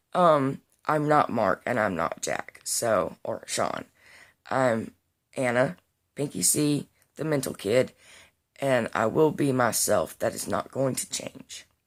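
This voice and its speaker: In a Southern US accent, a woman speaks at a very slow pace with long, frequent pauses. The recording is very clean, with a silent background. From US Deep South. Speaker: vlogger. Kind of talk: casual vlog monologue. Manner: unscripted, with fillers.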